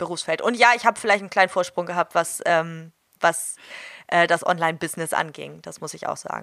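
A woman with a fairly low pitch, vocal fry and a bright, sharp tone talks at a fairly quick pace with fairly even intonation and big swings in loudness, in a very clean recording with a silent background. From northern Germany, Hamburg. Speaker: dog trainer. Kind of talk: interview.

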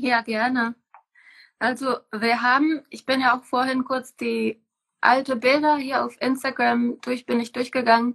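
Over a quiet background, a woman with a Czech accent speaks at a high pitch and a fairly slow pace in a flat, monotone way. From Czech Republic. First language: Czech (speaking German). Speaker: permaculture farmer. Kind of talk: casual interview. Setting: Instagram live video call.

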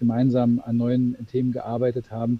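A man's medium-pitched voice. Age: 40s. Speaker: managing director of a corporate spin-off. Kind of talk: interview. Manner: halting, many fillers.

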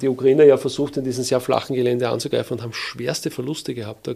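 With vocal fry in his voice, a man speaks at medium pitch in a dark, mellow tone. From Lower Austria, Wiener Neustadt area. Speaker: army officer. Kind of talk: interview.

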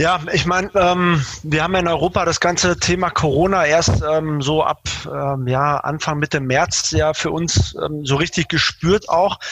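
A man speaks at a fairly slow pace in a fairly high pitch with very even loudness and ordinary pitch variation, over noticeable background noise. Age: 40s. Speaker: logistics manager at a carmaker. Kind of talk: interview. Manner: hesitant, many fillers.

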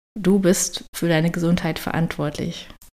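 A woman speaks at a moderate pace with a fairly low pitch and an ordinary speaking voice. The recording is very clean, with a silent background. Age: 30s. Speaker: health coach and podcast host. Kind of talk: solo podcast monologue. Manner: casual, chatty.

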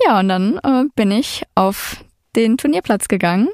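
Lively intonation carries this moderate-paced speech, heard as a dry, close sound with no echo. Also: woman. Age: 20s. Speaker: product manager telling her dating story. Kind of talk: storytelling interview.

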